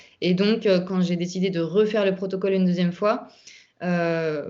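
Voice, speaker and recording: Speaking at a fairly quick pace, a woman keeps a medium pitch and monotone, flat intonation. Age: 30s. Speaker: YouTuber sharing health recovery story. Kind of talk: testimony.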